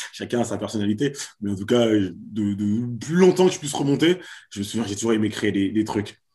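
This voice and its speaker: A man's fairly low voice, dark and mellow in tone, with lively intonation at a moderate pace. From Paris suburbs (Val d'Oise), France. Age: 30s. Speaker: comedian and show producer. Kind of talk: casual interview. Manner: halting, many repetitions.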